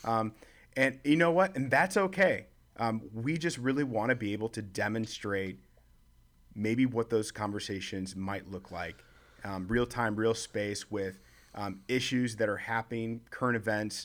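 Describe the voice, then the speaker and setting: In a normal speaking voice, a man with an American accent talks at a fairly slow pace and medium pitch with lively intonation on a very clean recording with a silent background. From Chicago. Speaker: leadership organization worker. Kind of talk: casual chat.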